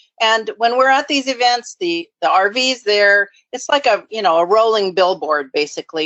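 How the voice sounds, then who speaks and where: An unremarkable speaking voice from a woman, lively in intonation, at a moderate pace. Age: 60s. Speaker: nonprofit founder and recovery advocate. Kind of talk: interview.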